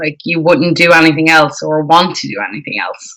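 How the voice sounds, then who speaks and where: The speaker is a woman. She has an Irish accent. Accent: Irish, often mistaken for Canadian. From Ireland. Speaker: singer. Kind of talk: interview. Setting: live stream interview.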